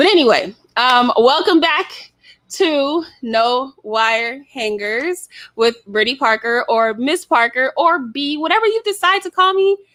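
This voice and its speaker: A woman with an American accent speaks fairly slowly in a high, bright, sharp voice, animated in tone and with very wide pitch swings. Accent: slight Southern, comes out sometimes. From US South. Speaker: podcast host. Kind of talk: casual chat.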